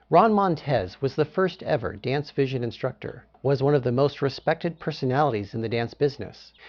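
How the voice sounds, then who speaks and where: His voice sits fairly high for a man and his pitch rises and falls very widely. This man talks at a moderate speed. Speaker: channel host. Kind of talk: tribute video introduction.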